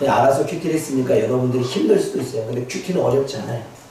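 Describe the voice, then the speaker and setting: The man's voice sits fairly high. Noticeable background noise and audible room echo surround it. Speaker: pastor. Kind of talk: sermon. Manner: fast.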